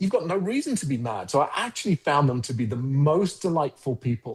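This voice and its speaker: With a South London accent, a man talks at a moderate pace in a fairly high pitch. His voice is somewhat breathy, and the background is quiet. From South London (Croydon), England. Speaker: agency founder and CEO. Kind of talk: podcast interview.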